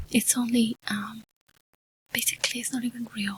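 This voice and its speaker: A soft-spoken woman whispers at a fairly slow pace. The sound is dry and close, with no echo. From Mexico. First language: Spanish. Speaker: ASMR YouTuber. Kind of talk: ASMR ramble. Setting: home studio. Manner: soft-spoken, whispery.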